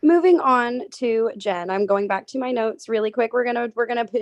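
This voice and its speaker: A plain, everyday voice at a fairly quick pace, dry and close with no echo. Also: woman. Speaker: jury member in online game finale. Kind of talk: questioning finalists at jury.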